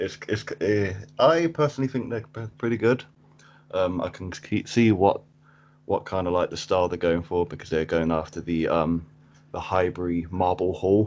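Very deep, low-pitched male voice at a moderate pace, with a southern English accent and ordinary pitch variation. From Cambridge, England. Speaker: football fan guest. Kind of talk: casual chat. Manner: halting, repeats words.

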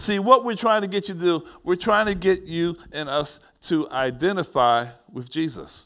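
A high-pitched man with an American accent, a bright, sharp tone, lively intonation, and a moderate pace, in a very clean recording with a silent background. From US Northeast, East Orange, New Jersey. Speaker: pastor. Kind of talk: sermon. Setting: church. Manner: animated.

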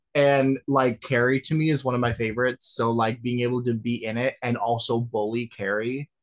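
Using an ordinary speaking voice, a man talks at a moderate pace and medium pitch in a dry, close sound with no echo. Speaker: musical theatre student. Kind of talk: casual interview.

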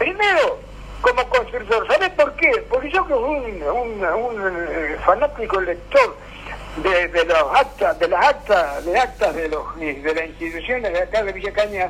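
Noticeable background noise sits behind a man who talks at a fairly slow pace. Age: old. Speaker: local historian and radio collaborator. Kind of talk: casual radio chat and reminiscence. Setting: radio program.

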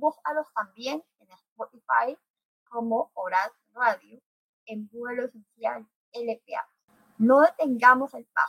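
Speaking very slowly with long, frequent pauses, a woman uses a high pitch with ordinary pitch variation, captured with a dry, close sound and no echo. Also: big swings in loudness. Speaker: radio host. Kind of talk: casual chat.

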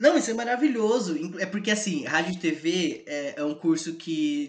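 A high-pitched man talks with very wide pitch swings over noticeable background noise. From Brazil, São Paulo state interior (Botucatu). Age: 20s. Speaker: university student. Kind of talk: casual chat.

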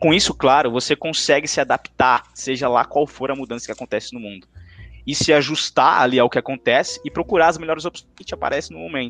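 Over music in the background, a man talks at a very fast pace with a fairly high pitch, ordinary pitch variation and big swings in loudness, in a dry, close sound with no echo. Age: 20s. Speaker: marketing intern, former student league president. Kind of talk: podcast interview.

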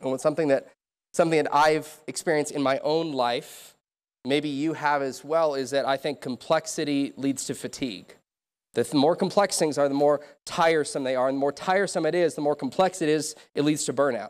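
Fairly high in pitch, a man talks at a fairly quick pace with fairly even intonation in a very clean recording against a silent background. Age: 20s. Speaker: pastor. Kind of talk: sermon.

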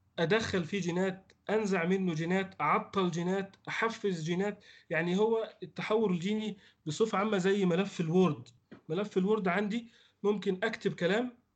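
A high-pitched man at a moderate pace, his intonation fairly even. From Egypt. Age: 30s. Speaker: veterinary researcher. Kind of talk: interview.

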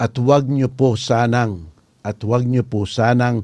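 A man speaks at medium pitch with a dark, mellow tone. His pace is fairly slow, and his pitch varies in an ordinary way. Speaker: lawyer and podcast host. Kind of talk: political commentary podcast. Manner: animated.

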